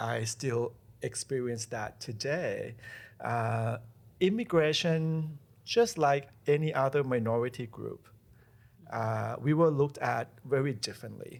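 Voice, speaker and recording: A man speaks with a non-native accent at a fairly slow pace. The recording is very clean, with a silent background. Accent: foreign. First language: not English. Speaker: college president. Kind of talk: podcast interview. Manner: halting, with repetitions.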